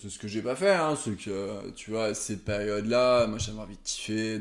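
Fairly even intonation and a fairly low pitch shape this man's speech, delivered at a moderate pace. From Savoie, France. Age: 30s. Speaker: banker. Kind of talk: casual interview. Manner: calm; halting.

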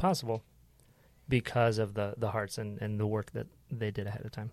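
Speaking at a fairly quick pace, a man with a medium pitch and fairly even intonation has an unremarkable speaking voice, captured with a dry, close sound with no echo in a very clean recording with a silent background. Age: 30s. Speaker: podcast producer and host. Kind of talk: casual chat.

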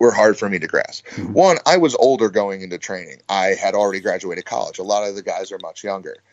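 A man with an American accent, at a moderate pace. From US, small town. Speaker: pro wrestler. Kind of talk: casual interview chat.

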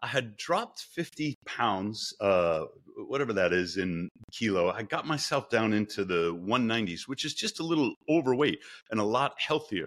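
A man with an American accent and a plain, everyday voice talks at a moderate pace with lively intonation. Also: medium pitch for a man, very clean recording, silent background. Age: 50s. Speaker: engineering professor. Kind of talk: casual interview.

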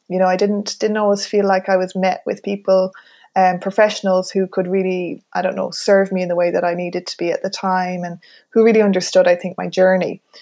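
A woman with a western Irish accent talks at a fairly quick pace in a medium pitch, her tone dark and mellow and her intonation monotone and flat. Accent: rural western Irish. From Ireland, County Mayo. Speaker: relationship coach. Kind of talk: casual chat. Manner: halting.

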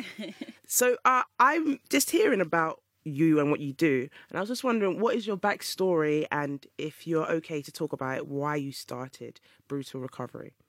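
Moderately paced speech on a very clean recording with a silent background. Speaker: DJ and radio host. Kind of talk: casual chat.

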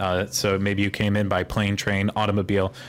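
Using a monotone, flat intonation, a man with a Pittsburgh accent talks at a fairly quick pace and fairly low pitch. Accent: American, Pittsburgh.

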